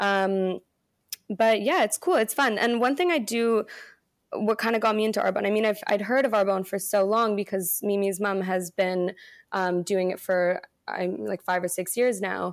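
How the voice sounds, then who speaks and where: A woman speaks in a plain, everyday voice at a medium pitch and a moderate pace. Her intonation stays fairly even, and the recording is very clean with a silent background. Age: 20s. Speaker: product sales consultant. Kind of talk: casual chat; sales pitch.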